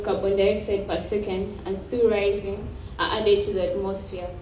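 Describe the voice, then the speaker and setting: A woman speaks at a moderate pace amid light background noise and audible room echo. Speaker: speaker. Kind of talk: formal speech. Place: hall.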